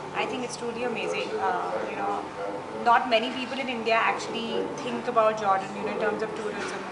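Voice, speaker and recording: A woman speaks at a fairly quick pace. Loud background noise runs underneath her. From India. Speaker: tourist. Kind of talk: interview. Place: home room.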